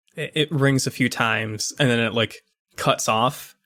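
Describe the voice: Someone reads aloud plainly over a quiet background.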